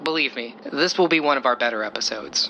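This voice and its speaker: A man's very fast, confident speech with lively intonation over noticeable background noise. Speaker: TV paranormal show host, character. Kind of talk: scripted audio drama dialogue. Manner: confident, polished, persuasive.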